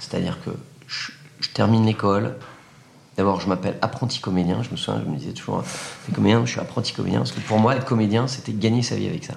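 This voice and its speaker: Here a man speaks at a fairly quick pace and fairly low pitch. His intonation is lively, and there is audible room echo. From France, Loire. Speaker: comedian and corporate coach. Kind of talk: casual chat. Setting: in person, Paris. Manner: animated; halting, many repeated words.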